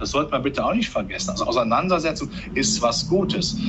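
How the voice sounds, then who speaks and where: A man talks fairly quickly as light background noise plays behind him. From Germany, rural farming background. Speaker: capital market analyst. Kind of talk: interview. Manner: animated. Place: office. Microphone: headset.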